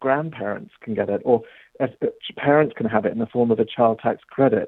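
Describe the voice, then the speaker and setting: Here a man talks with a British accent at a fairly quick pace. His pitch is medium, with ordinary variation. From England. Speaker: policy director guest. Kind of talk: radio interview.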